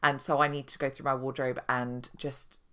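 On a very clean recording with a silent background, a woman with a British accent speaks in a very deep, low pitch with a bright, sharp tone. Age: 30s. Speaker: podcast host and mothers' coach. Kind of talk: solo podcast monologue. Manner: conversational.

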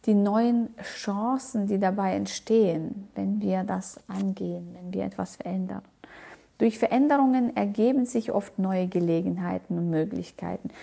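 In a non-native accent, the voice moves at a very slow pace, somewhat breathy and dark and mellow in tone, with ordinary pitch variation. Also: woman. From outside Germany. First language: not German (speaking German). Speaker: motivational podcast host. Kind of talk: motivational monologue. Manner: halting, many fillers.

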